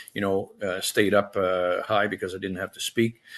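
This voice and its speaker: Bright and sharp in tone, a man speaks at a fairly low pitch and moderate pace against a quiet background. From Quebec, Saint-Jerome. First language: French. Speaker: retired army general. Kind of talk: interview. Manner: halting, many fillers.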